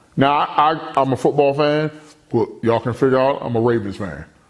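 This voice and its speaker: A man with an American accent speaks at a moderate pace in a fairly high pitch, with noticeable background noise. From Baltimore, Maryland. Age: 50s. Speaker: motivational speaker. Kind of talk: personal testimony. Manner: loud; animated.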